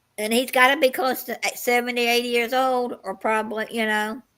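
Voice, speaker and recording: Recorded very clean with a silent background, a woman with an American accent uses a raised, projected voice, high in pitch and bright and sharp in tone. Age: 60s. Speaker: live stream host. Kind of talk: casual chat.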